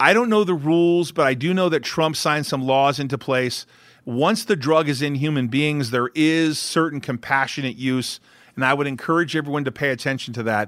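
A man with an American accent and an unremarkable speaking voice, fairly quick pace, ordinary pitch variation, very clean recording with a silent background. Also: fairly high pitch for a man. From California. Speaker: company CEO and investor. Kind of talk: interview.

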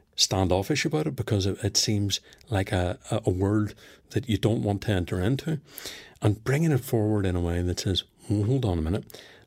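A man's fairly low, somewhat breathy voice at a moderate pace, with lively intonation and a very clean recording over a silent background. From Northern Ireland. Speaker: performance psychologist, former police officer. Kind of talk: interview.

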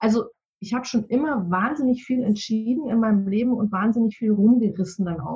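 Speaking at a moderate pace with a slight Bavarian accent, a woman's fairly high, somewhat breathy voice has a dark, mellow tone and ordinary pitch variation. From Munich, Bavaria. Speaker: decision-making coach. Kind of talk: interview.

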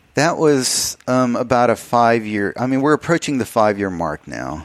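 Noticeable background noise surrounds a man speaking with an American accent. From Texas, El Paso. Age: 50s. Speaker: artist. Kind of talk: interview.

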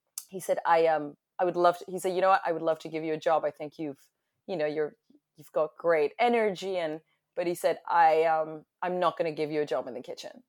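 A woman with an American accent talks at a fairly quick pace and fairly low pitch, her intonation fairly even but her loudness swinging widely. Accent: American-sounding. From France, then London. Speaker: hospitality entrepreneur. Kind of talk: interview. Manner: halting, many repeated words.

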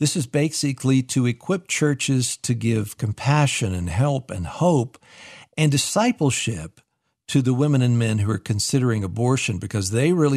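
Recorded very cleanly against a silent background with a dry, close sound and no echo, a man speaks at a moderate pace and a medium pitch with lively intonation. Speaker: radio host. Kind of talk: casual chat. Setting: studio. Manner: animated.

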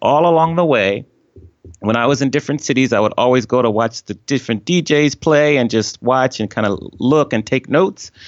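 Speaking at a fairly quick pace with an American accent, a man has an unremarkable speaking voice, a medium pitch and ordinary pitch variation. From US East Coast, Washington DC area. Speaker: DJ and former hotel executive. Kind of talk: interview.

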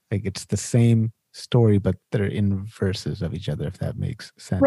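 A man speaks at a moderate pace in a dark, mellow tone, somewhat breathy, with ordinary pitch variation and a dry, close sound that has no echo. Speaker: podcast host. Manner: casual, uses filler "like" often.

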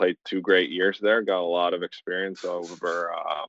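In a dry, close sound with no echo, a man speaks at a moderate pace in a low pitch with little pitch movement and a fairly bright tone.

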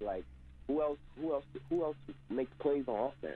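A moderate pace over music in the background. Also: man. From Mexico. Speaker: caller. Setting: phone call.

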